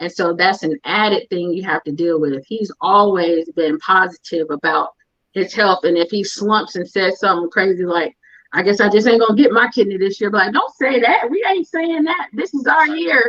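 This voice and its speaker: At a moderate pace, a woman with a normal speaking voice talks at a medium pitch and with lively intonation. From California. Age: 40s. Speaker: guest sharing her story with her husband. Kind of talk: interview conversation.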